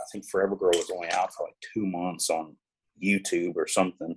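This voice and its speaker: A man with a Southern US accent speaks at a moderate pace. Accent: Southern US (Georgia). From US South, coastal Georgia. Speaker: music publishing executive and tour manager. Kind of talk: casual interview chat. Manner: casual, hesitant with many fillers.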